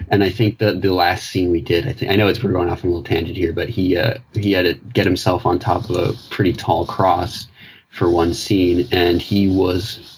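His pitch is very deep and low. This man's voice is also somewhat breathy. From Newfoundland, Canada. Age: 20s. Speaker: caller, theatre artist. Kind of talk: call-in conversation. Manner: halting.

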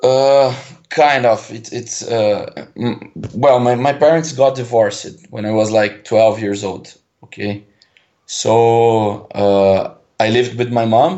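A man speaks at a very slow pace. He has a Portuguese accent. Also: medium pitch for a man, ordinary pitch variation. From Brazil. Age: 20s. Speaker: caller. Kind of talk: call-in conversation. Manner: halting.

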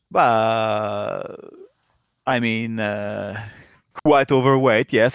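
A man's medium-pitched voice, monotone and flat in intonation. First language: not English. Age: 40s. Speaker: caller. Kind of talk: personal advice call. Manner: halting.

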